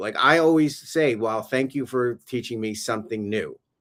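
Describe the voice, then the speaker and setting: A man's medium-pitched voice with a New York accent and ordinary pitch variation. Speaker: education consultant and former teacher. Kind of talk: casual interview on a livestream. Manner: animated.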